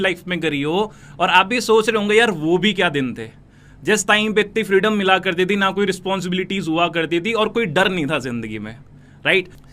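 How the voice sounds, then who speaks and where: A man uses a raised, projected voice with a bright, sharp tone at high pitch. He keeps a moderate pace and ordinary pitch variation. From North India, Noida. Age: 20s. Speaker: network marketing recruiter. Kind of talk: motivational sales pitch.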